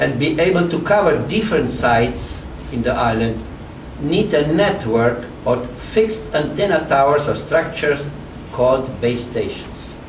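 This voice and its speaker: Heard through audible room echo and noticeable background noise, a man with a fairly high pitch talks at a moderate pace with lively intonation. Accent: Slovene. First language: Slovene. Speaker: public health radiation expert. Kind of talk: press briefing speech. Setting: press conference with audience. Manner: formal.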